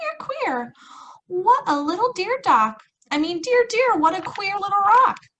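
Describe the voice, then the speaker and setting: A woman uses a squeaky, put-on character voice at an extremely high pitch. She delivers it at a fairly slow pace. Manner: singsong, playful.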